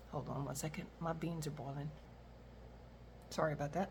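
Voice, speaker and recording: There is audible room echo around a woman whose somewhat breathy voice sits very deep and low in pitch. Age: 60s. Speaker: retiree and reseller vlogger. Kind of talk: casual monologue vlog. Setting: at home, kitchen. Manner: rambling, many fillers.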